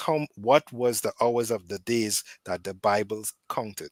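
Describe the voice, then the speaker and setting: Heard in a very clean recording with a silent background and a dry, close sound with no echo, a man with a Caribbean accent talks at a medium pitch and a very slow pace. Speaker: debate caller defending Adventist views. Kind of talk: heated debate. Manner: repetitive, frequent fillers like right and so.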